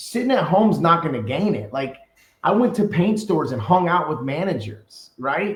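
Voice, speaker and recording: A loud voice with very wide pitch swings and vocal fry. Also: man. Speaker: construction company owner. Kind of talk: podcast interview. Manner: casual, animated.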